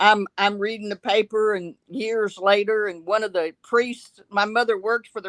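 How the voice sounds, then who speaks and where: In a Texan accent, a woman at medium pitch speaks with a dry, close sound that has no echo. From Texas, Dallas. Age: 70s. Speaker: caller. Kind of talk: casual chat.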